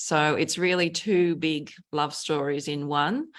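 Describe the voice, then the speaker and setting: Speaking very slowly in an Australian accent, a woman uses a fairly low pitch with ordinary pitch variation, on a very clean recording with a silent background. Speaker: novelist. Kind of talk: interview conversation.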